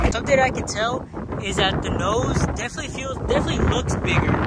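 A man talking at a very fast pace, dry sound with no echo, loud background noise. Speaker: skateboarder vlogger. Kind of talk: casual vlog chat. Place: street. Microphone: phone near.

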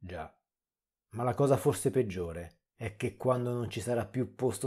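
Speaking at a fairly slow pace, a man has a dark, mellow tone and lively intonation. The recording is very clean, with a silent background. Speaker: horror story narrator. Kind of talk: horror story narration, reading creepypasta.

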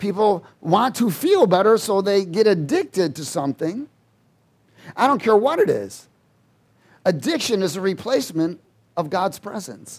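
Against a quiet background, a man speaks at a moderate pace with lively intonation and long, frequent pauses. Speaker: preacher. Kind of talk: sermon. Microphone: headset.

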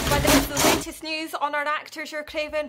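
A woman's raised, projected voice, high in pitch, at a fairly quick pace over noticeable background noise. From Scotland. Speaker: TV presenter. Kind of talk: studio entertainment report. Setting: studio. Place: studio.

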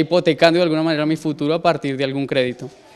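Here a man talks with a Colombian accent and fairly even intonation. His pace is very fast. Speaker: university student and cook. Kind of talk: interview. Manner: hesitant, many fillers. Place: classroom. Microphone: handheld.

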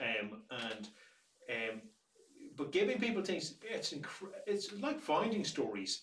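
A man with a high pitch and very wide pitch swings talks at a very slow pace, leaving long, frequent pauses, in audible room echo. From Ireland. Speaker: museum director; museum storyteller or director. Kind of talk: casual chat.

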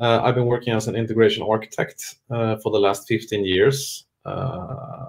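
A man's voice is somewhat breathy, with ordinary pitch variation. He speaks at a moderate pace. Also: quiet background. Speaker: webinar presenter. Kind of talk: presentation.

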